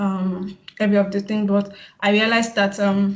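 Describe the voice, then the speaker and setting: A woman speaks at a medium pitch in a flat, monotone way, her voice somewhat breathy. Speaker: PR practitioner, summit speaker. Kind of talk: webinar presentation. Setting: video call. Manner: fast; halting, many fillers.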